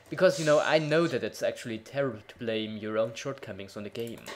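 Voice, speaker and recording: There is noticeable background noise. The talking moves at a fairly quick pace. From Germany. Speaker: gaming video creator. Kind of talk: let's play commentary.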